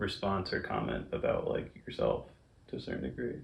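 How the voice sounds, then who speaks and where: A man speaks at a moderate pace, and audible room echo can be heard. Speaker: interview guest, friend of host. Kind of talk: casual interview chat. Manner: low cadence, little enunciation.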